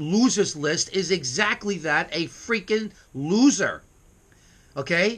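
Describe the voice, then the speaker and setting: With a New York accent, a man with a high pitch projects a raised voice in a bright, sharp tone. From US Northeast, New York City. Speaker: internet radio host. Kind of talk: casual vlog monologue. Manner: brash, emphatic; halting, stumbling over words. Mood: irritated, boastful. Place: home room. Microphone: webcam.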